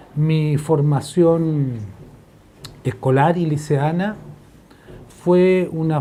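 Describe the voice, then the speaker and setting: A man speaks with ordinary variation in his pitch. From Chile. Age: 70s. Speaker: historian, professor. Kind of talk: interview testimony. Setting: office. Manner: hesitant, frequent fillers.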